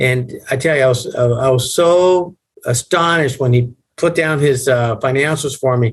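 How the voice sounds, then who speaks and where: A man with a medium pitch and ordinary pitch variation speaks at a moderate pace, somewhat breathy, with very even loudness. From Puerto Rico. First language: Spanish. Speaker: banker, business advisor. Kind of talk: storytelling in interview.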